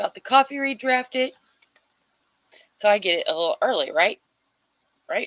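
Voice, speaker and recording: Pausing long and often at a moderate pace, a woman speaks with an American accent in a dry, close sound with no echo. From US Midwest. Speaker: livestream host of writing sprints. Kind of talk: casual livestream chat reading viewer comments. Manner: animated.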